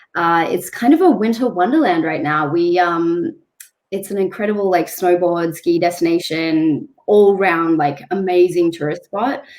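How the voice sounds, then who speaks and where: With an Australian accent, a woman speaks at a fairly low pitch. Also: ordinary pitch variation, moderate pace. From Australia, Sydney northern beaches. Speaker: travel blogger and photographer. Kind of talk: podcast interview.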